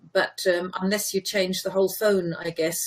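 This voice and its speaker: A somewhat breathy woman's voice, medium in pitch, at a moderate pace. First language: German. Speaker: German language teacher. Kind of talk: casual chat.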